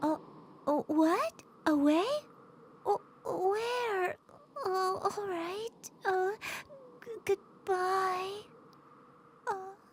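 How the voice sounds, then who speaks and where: Using a cartoonish character voice, a woman speaks at an extremely high pitch and a very slow pace, with long, frequent pauses. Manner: dramatic, sighing, self-admiring.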